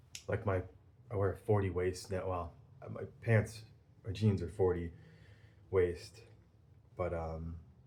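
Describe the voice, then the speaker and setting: Speaking at a fairly slow pace with long, frequent pauses, a man uses a very deep, low pitch and fairly even intonation in a somewhat breathy voice with a dark, mellow tone. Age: 40s. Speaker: pipe-smoking video blogger. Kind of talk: casual monologue vlog. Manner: hesitant, many filler ums.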